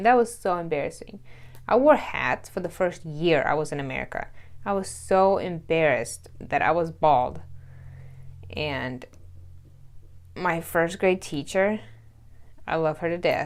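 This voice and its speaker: A woman speaks with a Russian accent. Her speech has long, frequent pauses. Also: fairly low pitch for a woman, ordinary pitch variation, fairly slow pace. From Russia, then US South. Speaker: vlogger. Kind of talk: storytime vlog. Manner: casual, chatty.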